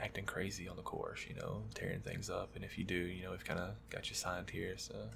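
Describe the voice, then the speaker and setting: Noticeable background noise sits behind the recording. Over it, a man speaks at a moderate tempo. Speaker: golf course employee. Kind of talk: ASMR role play, soft-spoken pro shop talk. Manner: soft-spoken.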